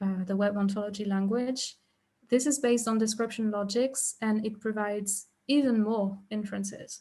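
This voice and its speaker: A woman speaks at a moderate pace with a fairly high pitch and fairly even intonation. Her tone is dark and mellow, somewhat breathy. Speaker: researcher presenting a talk. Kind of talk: academic lecture. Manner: halting, many fillers.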